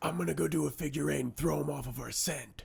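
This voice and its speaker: Doing a put-on character voice, a man talks at a very fast pace in a raspy, medium pitch. His pitch swings very widely. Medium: voice reel. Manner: scheming, dopey.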